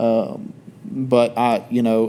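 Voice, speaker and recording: Speaking with a Southern US accent, a man uses a medium pitch. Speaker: podcast co-host. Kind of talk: casual chat.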